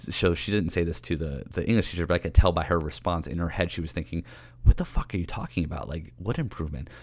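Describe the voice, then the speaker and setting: On a very clean recording with a silent background, a man with an American accent speaks at a very fast pace. His voice is very deep and low, with vocal fry and ordinary pitch variation. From New York City (Queens). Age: 30s. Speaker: fitness coach podcaster. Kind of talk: casual monologue, personal story.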